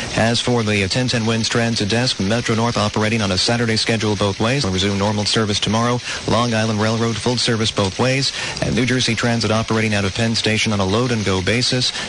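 Against noticeable background noise, a man talks at a very fast pace with medium pitch, monotone, flat intonation and very even loudness. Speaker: traffic reporter. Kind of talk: traffic report. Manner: rapid, clipped listing of closures.

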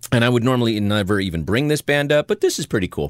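The speech comes at a very fast pace with lively intonation. The recording is very clean and dry, close with no echo, over a silent background. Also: man. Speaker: podcast host. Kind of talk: casual comedic banter. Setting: studio.

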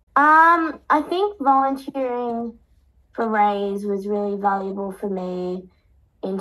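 A woman with an Australian accent. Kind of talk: interview conversation. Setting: radio studio. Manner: halting.

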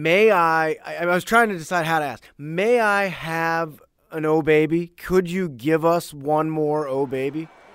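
On a very clean recording with a silent background, a man talks at a fairly slow pace in a normal speaking voice. His pitch is fairly high, with ordinary variation. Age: 30s. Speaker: podcast host. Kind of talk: casual interview.

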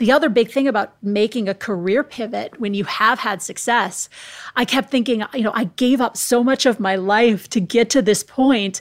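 In a very clean recording with a silent background, a woman with an American accent uses a normal speaking voice, fairly high in pitch, with ordinary pitch variation at a moderate pace. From US Midwest, Minnesota. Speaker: former TV sports reporter. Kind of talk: interview conversation.

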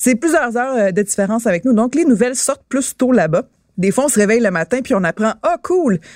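Recorded with a dry, close sound and no echo, a woman speaks. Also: very clean recording, silent background. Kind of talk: casual chat. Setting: studio streamed live on Twitch. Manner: animated.

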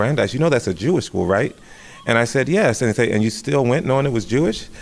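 A man with an American accent and ordinary pitch variation, music in the background. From Southern California, Riverside. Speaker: stage actor. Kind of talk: interview.

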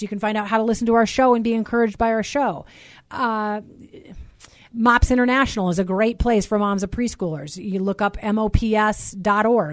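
A woman with an American accent speaks at a fairly high pitch with ordinary pitch variation. Her pace is fairly quick, and the background is quiet. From United States. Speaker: former TV reporter, mothers' ministry host. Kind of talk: interview. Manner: halting, many repetitions.

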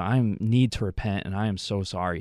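With an American accent, a man uses an ordinary speaking voice, fairly low in pitch and fairly even in intonation, in a dry, close sound with no echo. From Wisconsin, US. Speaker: former college athlete, youth minister. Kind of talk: radio interview.

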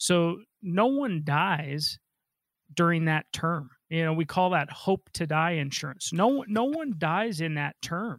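A man's high-pitched voice at a very slow pace, lively in intonation, with a dry, close sound and no echo. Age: 40s. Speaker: financial advisor. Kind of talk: radio call-in advice show. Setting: radio studio.

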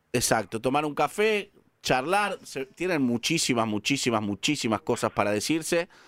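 A man with a Rioplatense accent at a medium pitch and a moderate pace, with very wide pitch swings and a dry, close sound with no echo. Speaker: radio host. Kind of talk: call-in radio show. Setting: radio studio.

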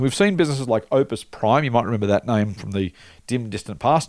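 In an Australian accent, a man with a medium pitch talks at a very fast pace with lively intonation. The recording is very clean, with a silent background. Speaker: investment podcast host. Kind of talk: casual chat.

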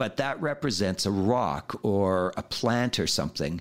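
With a Canadian accent, a man speaks in an ordinary speaking voice, fairly low in pitch with ordinary pitch variation. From Saskatchewan, Canada. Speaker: free diving instructor. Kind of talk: interview.

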